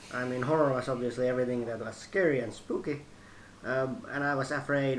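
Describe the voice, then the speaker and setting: A man with a Finnish accent at a medium pitch and a fairly quick pace, fairly even in intonation, with audible room echo and noticeable background noise. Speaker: host's brother. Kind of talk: casual chat. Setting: kitchen at home.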